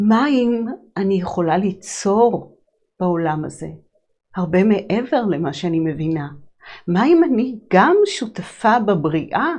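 A woman speaks in a calm tone at a very slow pace, with long, frequent pauses. The background is quiet. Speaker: holistic psychologist and sound healer hosting a show. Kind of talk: reflective monologue on personal growth. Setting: live broadcast. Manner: calm, flowing, spiritual. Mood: calm, reflective, warm. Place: studio.

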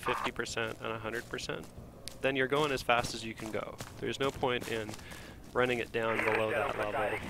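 A man at a medium pitch and moderate pace, fairly even in intonation, against noticeable background noise. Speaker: gamer / game tutorial commentator. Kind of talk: casual gaming chat, tips. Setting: online voice chat while gaming.

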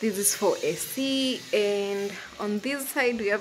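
Light background noise can be heard. A woman speaks at a very slow pace. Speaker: vlogger. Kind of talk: casual vlog chat. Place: home room. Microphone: phone near.

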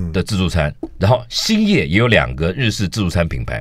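Recorded against a quiet background, a man's voice sounds dry, with no echo. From Taiwan. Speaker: food critic; radio guest. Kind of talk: casual chat. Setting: studio. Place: studio.

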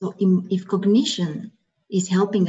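A somewhat breathy woman at a fairly slow pace. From Romania. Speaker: HR consultant; webinar presenter. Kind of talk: webinar presentation. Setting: video call. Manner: soft-spoken. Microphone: video call.

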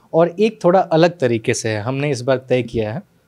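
A man with a plain, everyday voice, fairly high-pitched for a man, with lively intonation, a moderate pace and a quiet background. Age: 20s. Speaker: interviewer. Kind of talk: interview. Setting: on location. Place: office. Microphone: handheld.

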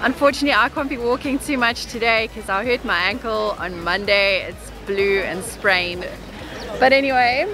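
A woman speaks at a moderate pace over faint background music. The sound is dry, with no echo. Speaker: vlogger. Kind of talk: casual vlog chat. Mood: cheerful, excited. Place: street. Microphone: phone near.

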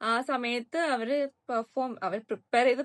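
In a very clean recording with a silent background, a woman speaks in a high pitch with an animated tone and ordinary pitch variation. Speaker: YouTube reality-show reviewer. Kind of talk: casual vlog commentary.

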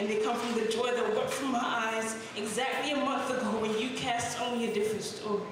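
A woman speaks fairly quickly at a fairly high pitch, monotone and flat, with hardly any pauses. Strong room echo and noticeable background noise surround her. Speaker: spoken word poet. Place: cafe.

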